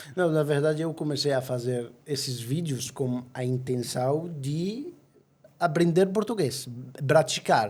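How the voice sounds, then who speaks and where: A man's fairly high, somewhat breathy voice moves through ordinary pitch variation. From Egypt. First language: Arabic (speaking Portuguese). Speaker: travel agency owner. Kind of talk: podcast interview. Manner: halting.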